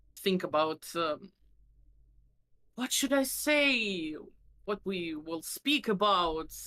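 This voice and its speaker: With a Russian accent, a woman speaks at a very slow pace with long, frequent pauses, her medium-pitched voice bright and sharp in tone. Her pitch swings very widely. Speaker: vtuber. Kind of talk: casual chat. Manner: halting.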